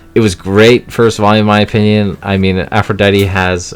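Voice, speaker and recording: A man speaks in a fairly low pitch with music in the background. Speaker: manga collector youtuber. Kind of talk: casual unboxing haul video. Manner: fast.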